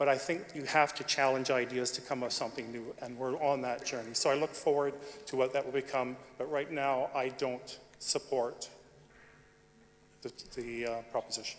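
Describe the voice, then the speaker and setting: This man speaks at a moderate pace with a medium pitch. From Canada. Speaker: audience member speaking in debate. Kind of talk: debate floor speech. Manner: halting.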